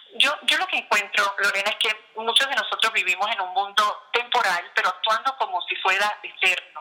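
A woman with a fairly high pitch speaks at a fairly quick pace with ordinary pitch variation over noticeable background noise. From Puerto Rico. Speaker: author and international speaker. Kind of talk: interview. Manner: halting, with frequent repetitions.

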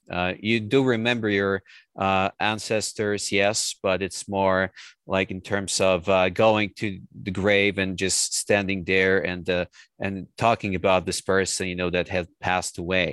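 In a Polish accent, a man with a very deep, low pitch speaks at a fairly slow pace in a monotone, flat intonation, on a very clean recording with a silent background and a dry, close sound with no echo. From Poland. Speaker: translator and writer. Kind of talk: interview.

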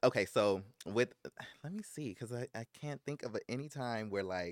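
A man with an American accent and a plain, everyday voice, ordinary pitch variation, dry, close sound with no echo, and a very clean recording over a silent background. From South Central Los Angeles. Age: 30s. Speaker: writer, producer and actor. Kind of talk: interview. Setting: studio.

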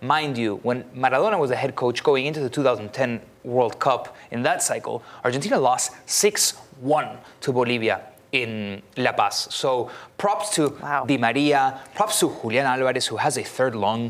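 Medium-pitched male speech at a moderate pace, with ordinary pitch variation and noticeable background noise. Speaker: football pundit. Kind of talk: casual chat. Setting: studio.

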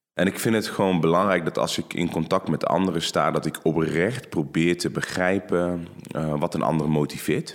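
A man talks in a very deep, low voice at a moderate pace. His tone is calm. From Netherlands, North Brabant. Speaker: judoka. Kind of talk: interview. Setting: studio.

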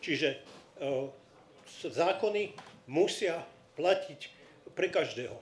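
A man with a high pitch and ordinary pitch variation speaks, with room echo audible. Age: 60s. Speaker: audience member, former conscript. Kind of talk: audience question. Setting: stage with live audience.

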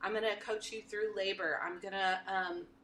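Here a woman speaks in a Texan accent. Her pace is fairly quick. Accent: Texan American. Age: 50s. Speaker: birth doula. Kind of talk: casual interview.

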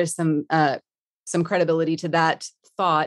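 In a Texan accent, a woman talks at a fairly quick pace, with a dry, close sound with no echo and a quiet background. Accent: Texan American. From Texas, Dallas-Fort Worth area. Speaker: managing director of a product management community. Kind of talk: interview.

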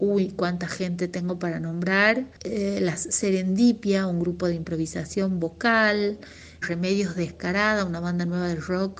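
Fairly slow and with fairly even intonation, a woman of medium pitch speaks in an unremarkable speaking voice. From Argentina, Tucumán (Tafí Viejo). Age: 40s. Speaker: singer-songwriter and music teacher. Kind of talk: interview.

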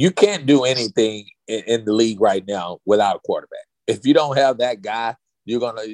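In a plain, everyday voice, a man talks at a moderate pace and medium pitch with ordinary pitch variation, the sound dry and close with no echo. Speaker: former NFL player and author. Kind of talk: casual interview chat. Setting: remote call from Dallas.

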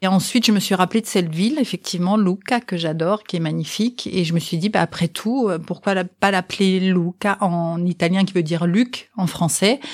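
A plain, everyday voice from a woman at medium pitch, moderate in pace, with ordinary pitch variation, very even loudness and hardly any pauses. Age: 50s. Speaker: sign language interpreter, mother of the guest. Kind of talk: interview testimony.

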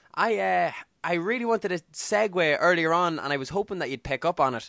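Over a quiet background, a man talks at a fairly quick pace with lively intonation. The sound is dry and close, with no echo. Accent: Irish. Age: 20s. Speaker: podcast host. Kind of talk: casual chat.

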